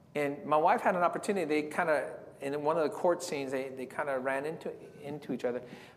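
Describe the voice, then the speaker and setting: Audible room echo surrounds a man with an American accent speaking at a very fast pace. His pitch is fairly high and varies in an ordinary way. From San Diego, California. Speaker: evangelist. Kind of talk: sermon.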